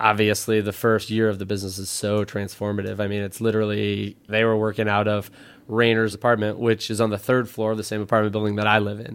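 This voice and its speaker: In a very clean recording with a silent background, a man speaks at a fairly quick pace in a flat monotone. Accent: American. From US Midwest. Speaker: apparel brand co-founder. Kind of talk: interview.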